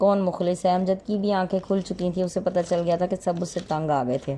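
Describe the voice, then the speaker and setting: Fairly even intonation marks an ordinary speaking voice. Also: woman. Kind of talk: moral story narration.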